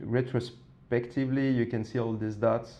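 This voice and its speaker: A man speaks with a French accent at a fairly slow pace. His medium-pitched voice has a dark, mellow tone and flat, monotone intonation. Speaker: design professor. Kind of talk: podcast interview. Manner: halting, many fillers and repetitions.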